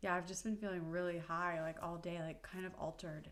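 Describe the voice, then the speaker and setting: The intonation is monotone and flat, with audible room echo. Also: woman. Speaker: video blogger on menstrual cycle tracking. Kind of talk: casual vlog monologue.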